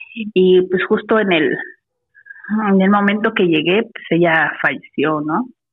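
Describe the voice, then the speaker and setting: This is a normal speaking voice, delivered at a fairly slow pace with ordinary pitch variation. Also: woman. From Mexico City. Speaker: caller. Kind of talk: telling a story by phone. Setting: phone call.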